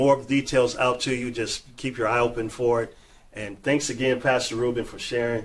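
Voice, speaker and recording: A man talks in a flat monotone at a moderate pace. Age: 50s. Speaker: podcast host. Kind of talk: casual chat. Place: studio. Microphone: studio mic.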